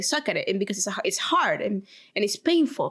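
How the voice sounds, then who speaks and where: At a very fast pace, a woman with a Spanish accent talks at a fairly high pitch in an animated tone. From Venezuela. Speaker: podcast co-host. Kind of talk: casual chat.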